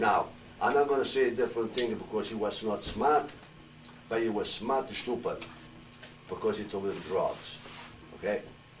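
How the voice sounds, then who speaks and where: With noticeable background noise, a man speaks at a moderate pace broken by long, frequent pauses. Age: 80s+. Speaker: retired pro wrestler. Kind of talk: panel talk. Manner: halting.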